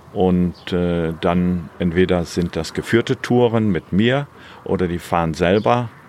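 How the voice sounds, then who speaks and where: A man speaks at a very deep, low pitch and a fairly slow pace. Noticeable background noise runs underneath. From Germany. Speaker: guesthouse owner and motorcycle rental operator. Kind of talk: interview.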